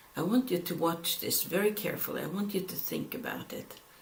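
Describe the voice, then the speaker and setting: The speaker has a non-native accent, with noticeable background noise behind the voice. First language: not English. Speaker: Bible teacher. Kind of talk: Bible study lecture with scripture reading. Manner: halting.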